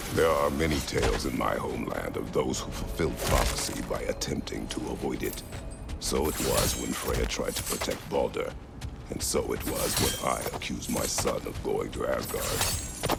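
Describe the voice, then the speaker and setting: In a cartoonish character voice, a man talks at a moderate pace over loud background noise. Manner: terse, grave.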